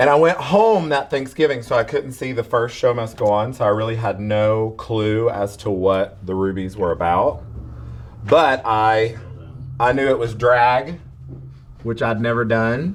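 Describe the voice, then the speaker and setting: A man with a Southern US accent, medium pitch, ordinary pitch variation and a fairly slow pace. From US South. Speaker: drag performer. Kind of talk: interview.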